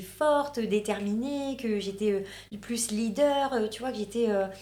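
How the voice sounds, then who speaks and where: A woman with a northern French accent, fairly high in pitch with ordinary pitch variation, in a room with audible echo. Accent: northern French (Ch'ti). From northern France. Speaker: reality TV contestant and influencer. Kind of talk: casual interview chat. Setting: studio. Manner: hesitant, many fillers.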